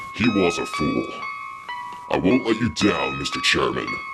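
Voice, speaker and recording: Against loud background noise, a man performs a put-on character voice at a moderate pace. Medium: audio drama. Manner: cold, curt.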